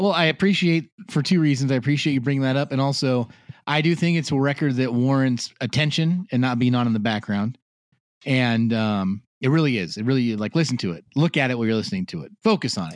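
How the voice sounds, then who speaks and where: Speaking at a very fast pace, a man has lively intonation. His tone is playful. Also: medium pitch for a man. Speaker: podcast co-host. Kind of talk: casual podcast chat. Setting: lying in bed at home, laptop and microphone. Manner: joking, playful.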